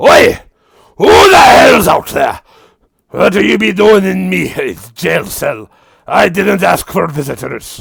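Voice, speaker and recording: Using a raspy, put-on character voice, a man speaks at a fairly slow pace with long, frequent pauses. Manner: irritated, indignant.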